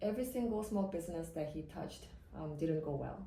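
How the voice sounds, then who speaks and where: A woman's fairly low-pitched voice with lively intonation, with audible room echo and noticeable background noise. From South Korea (Seoul). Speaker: immigration lawyer. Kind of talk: podcast interview.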